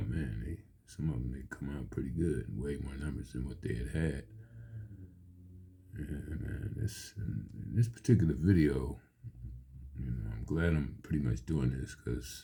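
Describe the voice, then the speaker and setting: Very deep and low, a man's dark, mellow voice with vocal fry and lively intonation moves at a fairly slow pace, broken by long, frequent pauses. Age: 60s. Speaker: amateur video creator and poet. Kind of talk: casual monologue.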